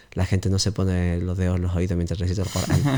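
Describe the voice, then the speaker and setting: A man with a very deep, low pitch and a dark, mellow tone talks in monotone, flat intonation. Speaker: Islamic teacher. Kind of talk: interview Q&A. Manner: hesitant, many fillers.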